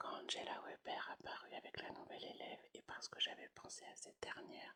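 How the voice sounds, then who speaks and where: A woman whispers at a moderate pace. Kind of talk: whispered ASMR audiobook reading. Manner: whispered.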